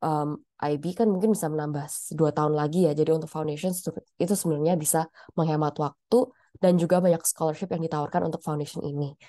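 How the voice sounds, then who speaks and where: At a very fast pace, a woman speaks with a very deep, low pitch, a dark, mellow tone and fairly even intonation. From Indonesia, Surabaya (East Java). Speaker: pharmacist. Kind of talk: career webinar talk. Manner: hesitant, many fillers.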